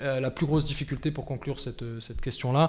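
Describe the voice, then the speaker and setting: A man with a fairly high pitch speaks fairly quickly in a somewhat breathy, monotone voice with flat intonation. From France. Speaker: football club president. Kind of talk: podcast interview. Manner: hesitant, many fillers.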